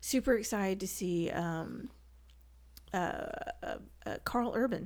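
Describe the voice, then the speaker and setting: On a very clean recording with a silent background, a woman with a Southern US accent speaks at a moderate pace in a fairly low pitch with ordinary pitch variation. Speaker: guest, movie and comics fan. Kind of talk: casual chat.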